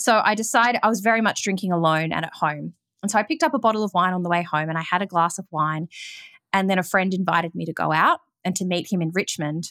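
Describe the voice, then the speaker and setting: Very fast female speech at medium pitch with ordinary pitch variation, on a very clean, silent-background recording that is dry and close with no echo. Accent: Australian. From Melbourne, Australia. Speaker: yoga teacher and recovery podcaster. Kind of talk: interview, personal testimony. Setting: call.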